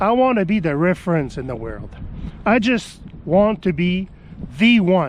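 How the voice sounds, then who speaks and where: Pitched high, a man speaks with lively intonation. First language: French. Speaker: business YouTuber. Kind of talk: vlog monologue. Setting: outdoors in snow.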